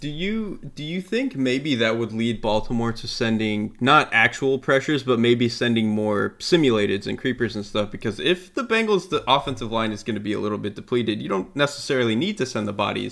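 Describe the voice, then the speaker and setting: A man with an American accent has a plain, everyday voice at a medium pitch. He talks at a fairly quick pace with hardly any pauses and ordinary pitch variation. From Florida. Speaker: football analyst. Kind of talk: casual football analysis chat.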